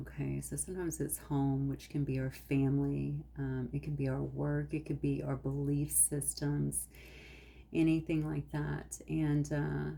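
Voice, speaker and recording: Speaking softly, a woman keeps to a fairly slow pace. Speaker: tarot card reader. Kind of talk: tarot reading. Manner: soft-spoken.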